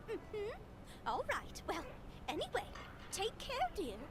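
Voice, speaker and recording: An extremely high put-on character voice speaks at a moderate pace over loud background noise. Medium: video game. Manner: polite, addresses others as "dear".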